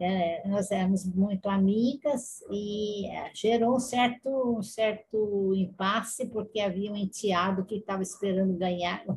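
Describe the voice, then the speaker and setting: Talking at a fairly slow pace with hardly any pauses, a woman sounds somewhat breathy at medium pitch, her intonation fairly even. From Brazil, Campinas (São Paulo state). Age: 80s+. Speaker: retired nurse. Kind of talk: interview.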